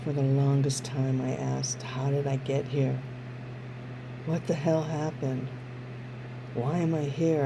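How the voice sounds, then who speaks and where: Monotone, flat speech at a moderate pace and very even loudness, with long, frequent pauses, audible room echo and noticeable background noise. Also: woman. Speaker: somatic educator. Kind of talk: personal testimony.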